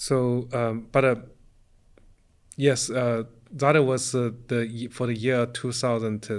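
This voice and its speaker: A man at medium pitch speaks at a very slow pace in a monotone, flat delivery, with long, frequent pauses. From eastern China, near Shanghai. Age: 40s. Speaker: professor, computer architecture researcher. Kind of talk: interview. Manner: halting, many fillers and restarts.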